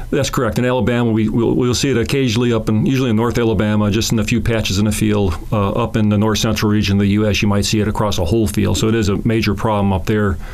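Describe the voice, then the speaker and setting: A man's fairly low, very fast speech with fairly even intonation, amid audible room echo and noticeable background noise. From Chicago, US Midwest. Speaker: plant pathologist. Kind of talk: casual interview.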